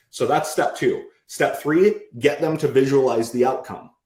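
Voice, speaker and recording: A man's voice is somewhat breathy. His intonation is lively. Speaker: sales trainer. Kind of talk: live presentation to group. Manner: fast.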